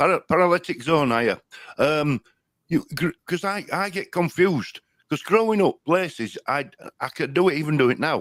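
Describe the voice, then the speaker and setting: In a Yorkshire accent, a man with a high pitch and lively intonation speaks at a moderate pace, the sound dry and close with no echo. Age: old. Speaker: online show host. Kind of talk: casual chat. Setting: live stream.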